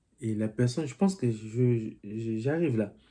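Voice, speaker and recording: A man with a dark, mellow tone talks at medium pitch and a fairly slow pace. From DR Congo. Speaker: political commentary vlogger. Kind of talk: casual political commentary and reading viewer comments.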